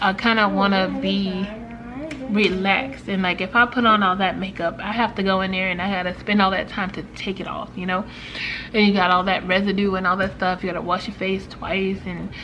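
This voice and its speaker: A woman's medium-pitched voice at a fairly quick pace, flat and monotone, with noticeable background noise. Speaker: lifestyle vlogger. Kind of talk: casual vlog talk to camera. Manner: hesitant, many fillers.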